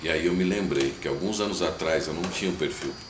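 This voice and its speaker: Noticeable background noise and audible room echo around a moderately paced male voice, pitched very deep and low. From Brazil, São Paulo city. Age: 30s. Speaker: missionary. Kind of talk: testimony.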